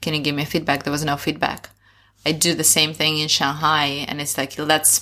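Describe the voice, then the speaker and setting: In a Russian accent, a woman talks at a fairly quick pace with a very deep, low pitch and a bright, sharp tone. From Russia, Sakhalin Island. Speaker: education entrepreneur. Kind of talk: interview conversation.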